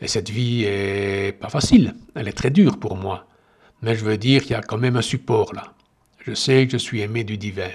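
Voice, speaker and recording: Big swings in loudness mark this man's speech, delivered at a medium pitch and moderate pace with ordinary pitch variation. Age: 60s. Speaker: meditation podcaster. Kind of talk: personal monologue. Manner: halting.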